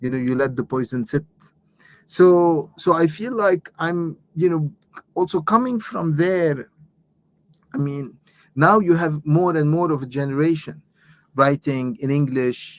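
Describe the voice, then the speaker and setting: A man with an Arabic accent talks at a fairly high pitch with ordinary variation, leaving long, frequent pauses. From Lebanon. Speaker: author and professor. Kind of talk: interview. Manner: halting, many repetitions.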